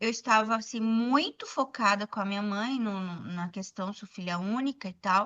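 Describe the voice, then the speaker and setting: A woman speaks in a normal speaking voice, fairly high in pitch. Her pace is fairly slow. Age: 60s. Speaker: documentary photographer, former educator. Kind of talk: podcast interview.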